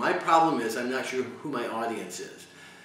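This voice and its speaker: Audible room echo and noticeable background noise surround a man speaking at a fairly quick pace with medium pitch and ordinary pitch variation. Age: 60s. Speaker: university teacher. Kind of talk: interview. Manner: halting, many repetitions.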